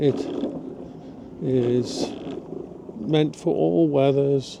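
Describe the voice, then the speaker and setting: There is noticeable background noise behind this man. He speaks at medium pitch with lively intonation. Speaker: vlogger. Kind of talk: casual vlog monologue. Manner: slow.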